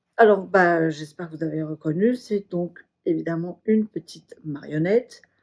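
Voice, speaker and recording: A woman with a plain, everyday voice and fairly low pitch talks at a moderate pace with hardly any pauses, ordinary pitch variation and big swings in loudness, in a dry, close sound with no echo. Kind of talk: casual craft video talk to camera.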